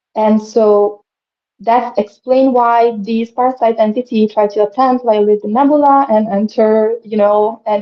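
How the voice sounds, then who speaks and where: The speaker has a non-native accent. The pace is fairly slow and the intonation fairly even. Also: woman. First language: not English. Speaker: spiritual speaker, channeler. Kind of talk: live stream interview. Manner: halting, many fillers.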